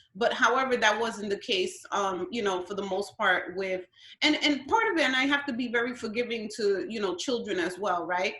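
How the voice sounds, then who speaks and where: With a New York accent, a woman speaks at a moderate pace, her fairly high voice carrying lively intonation. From Brooklyn, New York (Williamsburg), Guatemalan parents. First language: Spanish. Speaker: school principal. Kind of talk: interview.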